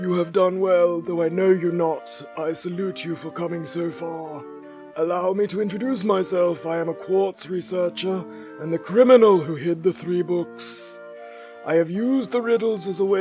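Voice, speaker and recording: Over clear background music, a man performs a put-on character voice. His pitch is high. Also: moderate pace. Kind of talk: formal, archaic, scholarly. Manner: ceremonious, grand.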